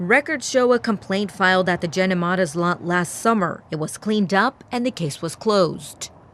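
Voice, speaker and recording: A woman with a normal speaking voice talks at a medium pitch and moderate pace, her intonation lively. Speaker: TV news reporter. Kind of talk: TV news reporter stand-up and voiceover.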